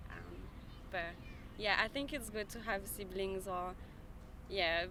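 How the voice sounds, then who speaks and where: A woman with a French accent talks at a fairly slow pace in a medium pitch. Her intonation varies in an ordinary way, and the room echo is audible. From France. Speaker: member of the public interviewed on the street. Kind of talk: casual street interview. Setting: outdoors in a park. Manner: halting, many fillers.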